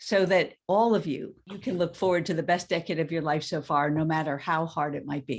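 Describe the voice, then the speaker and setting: In an ordinary speaking voice, this woman keeps a moderate pace and ordinary pitch variation. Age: 60s. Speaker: coach. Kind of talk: webinar introduction.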